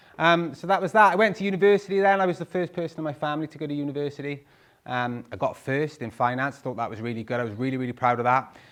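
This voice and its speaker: A man with a Welsh accent at a very fast pace, his intonation lively. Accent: Welsh (Swansea). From Wales, Swansea. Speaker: property investor. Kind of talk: talk to live audience. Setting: stage with audience.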